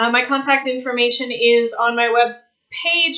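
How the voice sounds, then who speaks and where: A woman speaks with a Canadian accent. Her pace is fairly slow. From Canada. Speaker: author vlogger. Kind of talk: vlog monologue.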